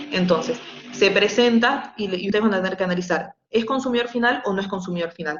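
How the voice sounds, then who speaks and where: A woman talks at a very fast pace with medium pitch and ordinary pitch variation. There is audible room echo. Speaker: university lecturer. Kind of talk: online lecture; casual chat.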